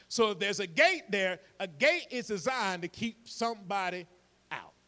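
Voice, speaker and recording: A man's raised, projected voice, high in pitch and bright and sharp in tone, at a moderate pace with ordinary pitch variation. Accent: Georgia. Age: 50s. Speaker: pastor. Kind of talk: sermon.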